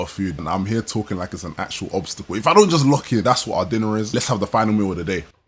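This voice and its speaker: With a British accent, a man speaks at a fairly low pitch. His intonation is lively. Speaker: food vlogger. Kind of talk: vlog voiceover narration.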